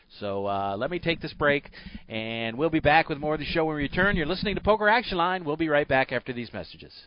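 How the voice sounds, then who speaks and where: At a very fast pace, a man with fairly high pitch speaks with very wide pitch swings. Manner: brisk, friendly, broadcast-smooth with filler 'uh's; easy-going, steady pace.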